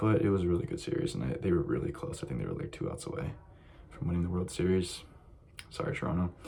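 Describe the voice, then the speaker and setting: A man speaks quietly with a very deep, low pitch over noticeable background noise. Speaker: sports YouTuber. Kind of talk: casual monologue. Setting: library.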